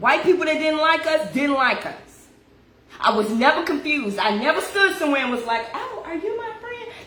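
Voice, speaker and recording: Speaking at a moderate pace over noticeable background noise, a woman uses a high pitch with very wide pitch swings and big swings in loudness. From Kentucky, US South. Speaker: livestreamer. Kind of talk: casual livestream monologue. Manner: emphatic.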